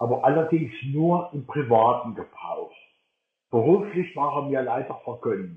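A man's fairly high voice, fairly slow, with lively intonation. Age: 60s. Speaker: blind Mac user co-leading a workshop. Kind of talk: online workshop talk.

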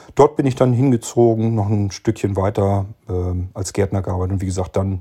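A man with a fairly low pitch and a dark, mellow, somewhat breathy tone is heard on a very clean recording with a silent background. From northern Germany, rural Lower Saxony. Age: 50s. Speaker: podcast host. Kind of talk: casual chat. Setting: recorded separately via chat app.

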